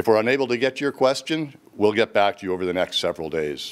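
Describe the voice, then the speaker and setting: A man is speaking. His pitch rises and falls in an ordinary way. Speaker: company executive host. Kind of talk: scripted corporate presentation.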